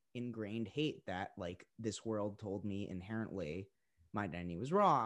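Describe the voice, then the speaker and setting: A man with an unremarkable speaking voice talks at a moderate pace and fairly low pitch, with ordinary pitch variation. The recording is very clean, against a silent background. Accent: American. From Boston suburbs, Massachusetts. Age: 20s. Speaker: singer-songwriter. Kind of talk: casual interview.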